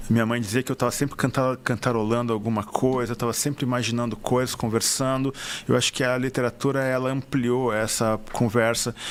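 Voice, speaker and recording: Speaking at a moderate pace, a man holds a medium pitch with monotone, flat intonation and very even loudness. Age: 50s. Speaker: writer. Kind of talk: interview. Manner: halting.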